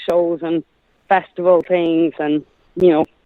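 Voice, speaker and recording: A woman's fairly low voice with an Irish accent, at a fairly slow pace. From Ireland. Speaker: singer-songwriter. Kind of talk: interview.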